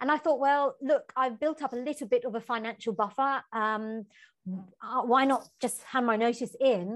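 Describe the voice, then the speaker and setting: The speaker has a London accent and ordinary pitch variation. The delivery is at a moderate pace against a quiet background. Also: woman. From East London, England. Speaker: novelist and travel writer. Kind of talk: interview conversation.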